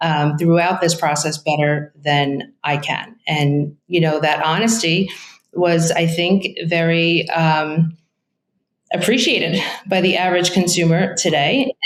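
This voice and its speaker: A woman speaks in a strong Brooklyn accent at a fairly low pitch and a fairly slow pace. Her intonation is fairly even and her loudness very even. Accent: thick Brooklyn. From New York, Brooklyn. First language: Italian. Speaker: real estate agent. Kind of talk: interview.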